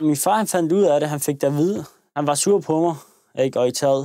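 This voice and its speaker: A man's fairly high pitch with a dark, mellow tone, ordinary pitch variation and a fairly quick pace. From Copenhagen area, Denmark. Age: 20s. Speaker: young man in documentary. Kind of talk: documentary interview storytelling. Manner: casual, with hesitations.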